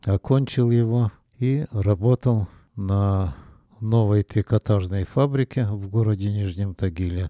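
Against a quiet background, a man's fairly low voice carries a dark, mellow tone in a dry, close recording with no echo. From Russia, Nizhny Tagil (Urals). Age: 80s+. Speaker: retired engineer, grandfather. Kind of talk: life story interview.

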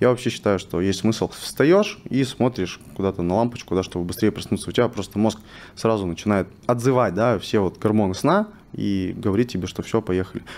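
An unremarkable speaking voice from a man, fairly low in pitch, at a moderate pace with ordinary pitch variation. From Russian Far East, Vladivostok. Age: 20s. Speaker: biohacking and nutrition specialist. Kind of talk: interview. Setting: studio.

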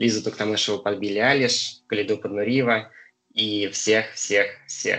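Ordinary pitch variation at a moderate pace, a normal speaking voice over a quiet background. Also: man. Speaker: podcast host.

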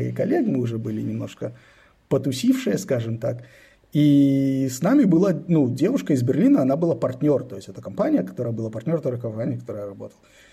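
Talking at a fairly quick pace, a man uses lively intonation in a fairly high voice that is somewhat breathy, with a dark, mellow tone. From Israel (born in Belarus, emigrated at 10). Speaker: venture investor and startup adviser. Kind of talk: casual interview chat.

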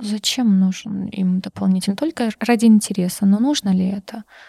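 A woman with a North Caucasian accent speaks at medium pitch and a fairly slow pace, with fairly even intonation and a dark, mellow, somewhat breathy tone. The sound is dry and close with no echo, in a very clean recording with a silent background. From Karachay-Cherkessia, North Caucasus, Russia. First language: Circassian (speaking Russian). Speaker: internal audit manager. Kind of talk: casual interview.

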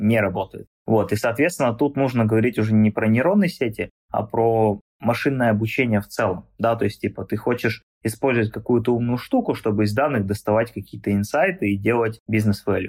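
The man has an unremarkable speaking voice, medium in pitch with ordinary variation, and he talks at a fairly quick pace. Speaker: neural network researcher. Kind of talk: casual interview, explaining. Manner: explanatory, informal, uses English tech words.

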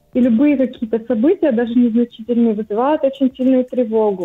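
Her voice sits high for a woman, and its pitch rises and falls in an ordinary way. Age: 30s. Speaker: caller. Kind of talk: phone-in consultation.

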